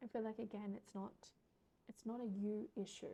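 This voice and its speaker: Somewhat breathy, a woman speaks at a moderate pace with medium pitch. Her intonation is monotone and flat. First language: not English. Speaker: tarot reader. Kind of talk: tarot reading. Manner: casual, filler-heavy.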